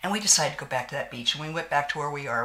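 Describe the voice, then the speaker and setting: Over noticeable background noise, a woman talks in an animated tone with a very deep, low pitch. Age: 60s. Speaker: beauty vlogger. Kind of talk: casual chat with makeup tutorial.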